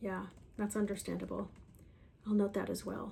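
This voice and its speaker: A soft-spoken woman talks in a gentle, calm tone at a moderate pace. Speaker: ASMR creator. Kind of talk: soft-spoken ASMR roleplay, sleep consultation. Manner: soft-spoken, gentle, calm.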